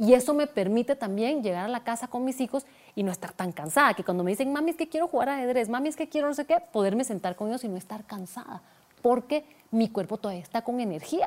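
Talking at a very fast pace, a woman uses lively intonation. Her pitch is high. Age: 40s. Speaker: digital media expert and entrepreneur. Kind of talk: interview.

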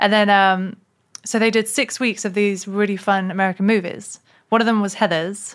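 A woman with a London accent speaks at a medium pitch and a moderate pace, with monotone, flat intonation. Her loudness stays very even against a quiet background. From London, England. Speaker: actress and comedian. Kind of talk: casual interview.

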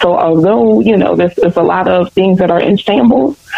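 A woman's fairly low voice at a moderate pace, with noticeable background noise. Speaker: education panelist. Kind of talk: panel discussion.

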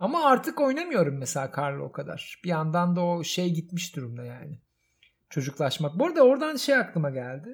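A man talks at a fairly quick pace in a high voice, with very wide pitch swings and big swings in loudness. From Istanbul, Turkey. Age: 40s. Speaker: podcast host. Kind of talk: casual chat.

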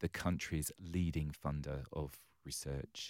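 Over a very clean recording with a silent background, a man with an English accent talks at a fairly slow pace with ordinary pitch variation. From London, England. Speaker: charity chief executive. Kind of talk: interview.

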